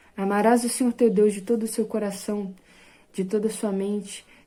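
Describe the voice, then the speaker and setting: On a very clean recording with a silent background, a woman with a fairly high pitch and a dark, mellow tone speaks at a moderate pace in monotone, flat intonation. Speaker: evangelical preacher. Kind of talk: bible study sermon.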